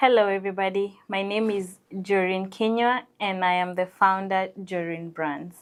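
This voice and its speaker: In a very clean recording with a silent background, a woman with a Kenyan accent speaks at a medium pitch and moderate pace, with fairly even intonation and hardly any pauses. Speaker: entrepreneur. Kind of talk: TV interview.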